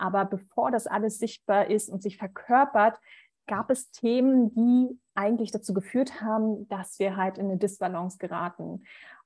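A woman speaks with a somewhat breathy voice. Her pitch sits fairly high. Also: moderate pace, very clean recording, silent background. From Berlin, Germany. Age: 30s. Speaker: medical student and coach. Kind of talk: interview conversation. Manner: hesitant, many filler sounds.

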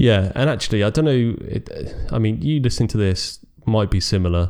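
Using a British accent, a man speaks at a moderate pace in a dark, mellow tone. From Britain. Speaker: podcast co-host. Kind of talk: casual chat.

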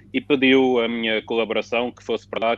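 A man talks at a fairly quick pace in a Lisbon accent, his pitch medium. His intonation is monotone and flat. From Portugal, Lisbon. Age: 30s. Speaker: football sporting director. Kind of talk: panel discussion.

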